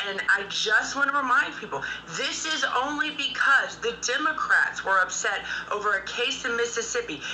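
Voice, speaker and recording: This woman uses a raised, projected voice pitched high, with an American accent and ordinary pitch variation. She talks at a moderate pace over light background noise. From United States. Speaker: political commentator. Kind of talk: heated debate. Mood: firm, argumentative. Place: home room. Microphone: video call.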